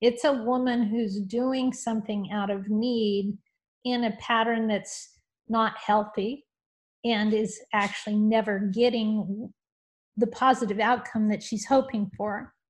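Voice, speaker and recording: Fairly high, somewhat breathy female voice, with monotone, flat intonation at a fairly slow pace against a quiet background. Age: 50s. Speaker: author. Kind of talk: casual chat.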